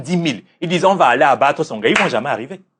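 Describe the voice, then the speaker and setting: Loud speech with vocal fry rushes along at a very fast pace over a quiet background. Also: man. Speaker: religious teacher and life coach. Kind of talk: interview. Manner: assertive.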